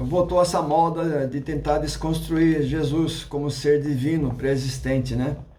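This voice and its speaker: A man speaks with hardly any pauses, at a fairly high pitch with ordinary variation. Noticeable background noise and audible room echo fill the recording. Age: 60s. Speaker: YouTube religious educator. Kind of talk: casual lecture. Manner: halting, many fillers and restarts.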